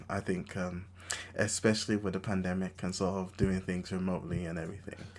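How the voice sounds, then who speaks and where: Monotone and flat in intonation, a man with a very deep, low pitch talks at a fairly quick pace. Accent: London. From London (Enfield, North London). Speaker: podcast host. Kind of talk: casual chat.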